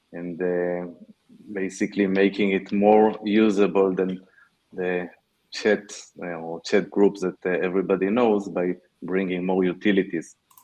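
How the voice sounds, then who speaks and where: A man with an Israeli accent, very deep and low in pitch, with a dark, mellow tone, a fairly slow pace and monotone, flat intonation. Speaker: tech startup founder. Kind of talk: panel discussion. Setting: online panel.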